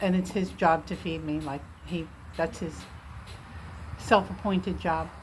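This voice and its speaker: A woman talks in a fairly low, somewhat breathy voice. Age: 60s. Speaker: vlogger documenting weight loss. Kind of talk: casual personal update vlog. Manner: relaxed, frequent fillers and hesitations.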